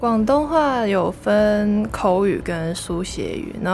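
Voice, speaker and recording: A woman speaks with lively intonation in a Hong Kong accent. Music plays in the background, with audible room echo. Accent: Hong Kong Cantonese-accented Mandarin. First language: Cantonese (speaking Chinese). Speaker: university student. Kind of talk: casual interview.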